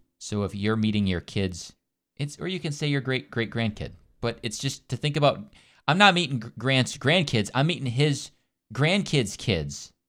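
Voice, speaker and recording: The voice carries vocal fry and lively intonation. The recording is very clean, with a silent background. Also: man, medium pitch for a man, moderate pace. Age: 30s. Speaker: podcast co-host. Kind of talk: casual chat.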